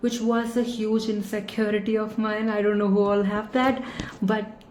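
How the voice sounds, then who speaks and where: A woman at a moderate pace with monotone, flat intonation, audible room echo and noticeable background noise. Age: 20s. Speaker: vlogger. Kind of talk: vlog review. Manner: hesitant, casual.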